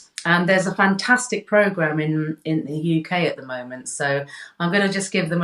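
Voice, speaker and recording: The accent is British. The pace is moderate. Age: 60s. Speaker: health coach. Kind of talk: casual interview chat. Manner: halting, many repetitions.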